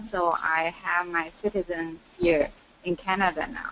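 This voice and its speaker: A woman with a Chinese accent, her fairly low pitch held in fairly even intonation. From China, Nanjing. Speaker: student. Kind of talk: casual chat. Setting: webinar call.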